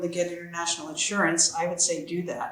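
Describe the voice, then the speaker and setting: This woman has a fairly low pitch and a Californian accent, speaking at a moderate pace. Noticeable background noise and audible room echo fill the recording. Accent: American (Californian). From US, Central California. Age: 60s. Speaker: expat author. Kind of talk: interview conversation.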